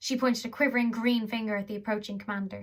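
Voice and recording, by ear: The intonation is fairly even. It is read aloud in a natural voice.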